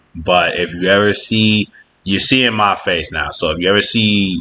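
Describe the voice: A man speaks at a low pitch. His tone is bright and sharp.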